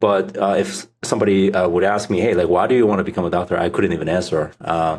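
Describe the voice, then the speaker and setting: Someone speaks at a fairly quick pace with a Korean accent. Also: man. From South Korea. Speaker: startup founder. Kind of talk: podcast interview. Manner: hesitant, many fillers.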